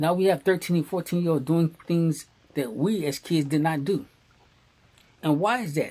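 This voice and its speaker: In a dark, mellow tone, the speaker uses an American accent and leaves long, frequent pauses. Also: man, high pitch for a man, ordinary pitch variation, moderate pace. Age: 60s. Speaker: commentary vlogger. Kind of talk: opinion monologue. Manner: repetitive emphatic.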